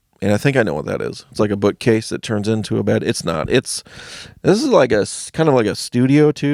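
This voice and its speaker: On a very clean recording with a silent background and a dry, close sound with no echo, a man with an American accent mumbles at a moderate pace, his medium-pitched voice showing lively intonation. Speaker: stand-up comedian. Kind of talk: casual video blog monologue. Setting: home basement studio. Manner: mumbling.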